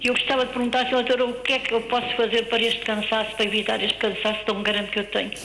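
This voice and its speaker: A woman with a fairly high pitch talks very fast with hardly any pauses, her intonation monotone and flat, her loudness very even, over noticeable background noise. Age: 70s. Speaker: caller with COPD. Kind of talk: phone-in question.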